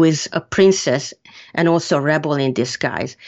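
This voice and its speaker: At a moderate pace, a woman with a Hungarian accent speaks at a very deep, low pitch with ordinary pitch variation. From Hungary. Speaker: author. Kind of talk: interview.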